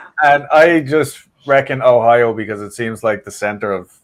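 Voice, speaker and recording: The speaker has a Dublin accent. The pace is moderate, with ordinary pitch variation. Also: man, big swings in loudness. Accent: Dublin Irish. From Ireland, Dublin southside suburbs. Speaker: paranormal podcast host, guest. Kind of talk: casual chat.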